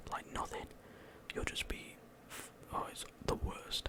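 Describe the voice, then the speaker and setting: A man is whispering. Noticeable background noise runs behind him. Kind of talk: casual talk to camera. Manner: relaxed, conversational.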